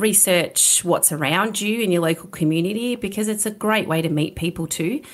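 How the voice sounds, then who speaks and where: At a moderate pace, a woman talks in an Australian accent. The recording is very clean, with a silent background. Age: 40s. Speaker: gym owner. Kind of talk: interview. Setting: studio.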